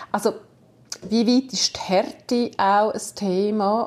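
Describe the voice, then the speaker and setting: The voice belongs to a woman. It lands at a medium pitch. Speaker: podcast host, former radio reporter. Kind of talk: interview.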